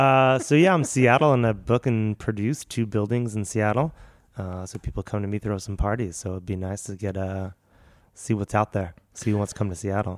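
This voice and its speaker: A man's unremarkable speaking voice with an American accent, fairly low in pitch, at a fairly quick pace with ordinary pitch variation, on a very clean recording with a silent background. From Philadelphia, US. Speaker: event venue producer and comedian. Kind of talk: casual chat.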